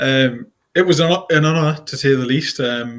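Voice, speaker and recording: A man speaks in a Geordie accent. His pitch is medium and his intonation fairly even. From northeast England (Newcastle area). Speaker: quantity surveyor, consultancy founder. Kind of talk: casual interview.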